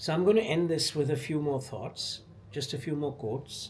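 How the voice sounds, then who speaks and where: Vocal fry runs through a man's fairly high-pitched voice. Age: 70s. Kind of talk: casual talk to camera.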